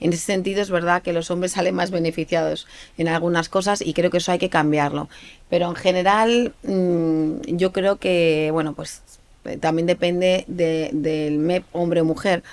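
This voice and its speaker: Fairly low-pitched female voice at a moderate pace, with ordinary pitch variation. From Spain, Aragon. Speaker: politician. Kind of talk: interview. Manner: hesitant, many fillers and repeats.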